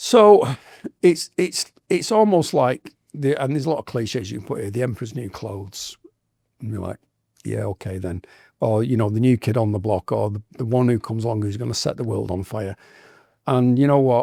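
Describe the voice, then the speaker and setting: In a very clean recording with a silent background, a man with an English accent speaks fairly quickly at medium pitch, his dark, mellow tone showing ordinary pitch variation in a dry, close sound with no echo. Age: 60s. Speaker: tattoo artist. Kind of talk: podcast interview.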